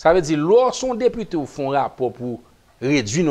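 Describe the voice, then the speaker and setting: Very wide pitch swings run through this man's speech. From Haiti. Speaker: politician. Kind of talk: talk show interview. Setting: studio. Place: studio. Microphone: lapel.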